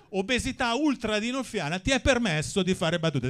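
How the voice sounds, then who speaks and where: A man talks at a fairly quick clip. His pitch swings very widely. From Milan, northern Italy. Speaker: stand-up comedian. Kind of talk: stand-up. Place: stage. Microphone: handheld.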